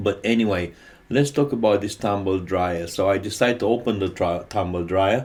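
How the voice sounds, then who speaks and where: This man speaks with a Romanian accent. The recording is very clean, with a silent background. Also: fairly low pitch for a man, ordinary pitch variation, moderate pace. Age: 50s. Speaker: electrician and HVAC technician. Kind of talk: tutorial. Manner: halting.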